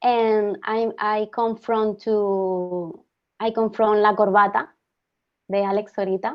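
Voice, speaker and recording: A woman speaks with a Spanish accent at a very slow pace. Her pitch is fairly high and her intonation fairly even. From Spain. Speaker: actress. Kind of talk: casual group video call. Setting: video call. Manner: halting.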